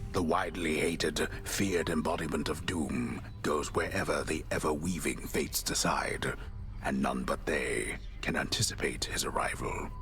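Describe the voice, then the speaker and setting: Whispering in a put-on character voice, a man is heard over clear background noise. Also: moderate pace. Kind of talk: epic storytelling narration. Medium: video game. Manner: measured, grand.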